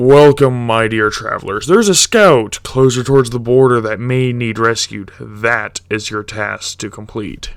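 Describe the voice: A man puts on a loud, booming character voice at a medium pitch. He speaks at a moderate pace with ordinary pitch variation.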